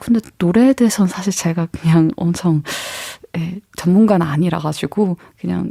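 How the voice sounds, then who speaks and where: Soft-spoken and mumbling, a woman talks at a moderate pace in a fairly low pitch with ordinary pitch variation, the sound dry and close with no echo. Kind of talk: casual. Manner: soft mumbling.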